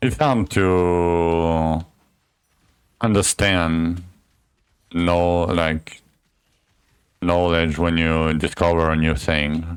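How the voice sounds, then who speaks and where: In a French accent, a man with a very deep, low voice speaks very slowly, with fairly even intonation, very even loudness and long, frequent pauses. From France. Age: 30s. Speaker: gaming streamer. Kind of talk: live gameplay stream chat. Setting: live stream. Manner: casual, explanatory.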